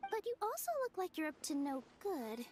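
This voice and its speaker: In a put-on character voice, a woman sounds bubbly and squeaky at an extremely high pitch with very wide swings. She keeps a moderate pace while music plays in the background. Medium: video game. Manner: earnest, bubbly.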